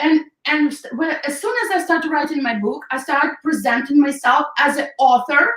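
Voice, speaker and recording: At a moderate pace, the speaker's pitch swings very widely. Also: woman. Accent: non-native. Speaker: hair stylist and salon owner. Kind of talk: interview.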